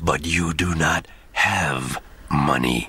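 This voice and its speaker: A man puts on a cartoonish character voice with a very deep, low pitch. Light background noise can be heard. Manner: formal, no contractions, sly.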